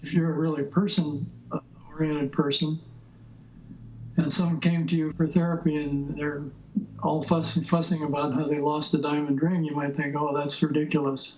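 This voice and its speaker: Delivery comes at a moderate pace. The intonation stays monotone and flat. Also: man, fairly high pitch for a man. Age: 70s. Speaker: psychotherapy teacher. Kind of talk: interview.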